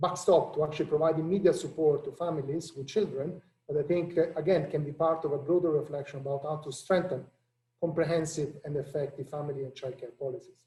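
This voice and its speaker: At a very fast pace, a man with an Italian accent speaks in a dark, mellow tone with a fairly high pitch and fairly even intonation. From Italy. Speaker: international economist, policy director. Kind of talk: panel discussion.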